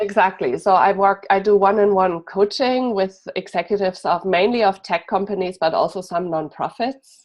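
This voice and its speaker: Music plays in the background as the speaker talks with a German accent at a moderate pace. There are hardly any pauses, and the pitch variation is ordinary. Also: woman, medium pitch for a woman. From Germany. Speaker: executive coach. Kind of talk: interview.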